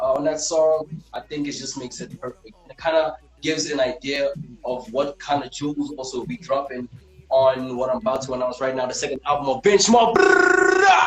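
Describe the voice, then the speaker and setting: Over music in the background, a man talks at a moderate pace with a fairly high pitch, ordinary pitch variation and big swings in loudness. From South Africa. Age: 30s. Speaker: rapper. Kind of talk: casual interview.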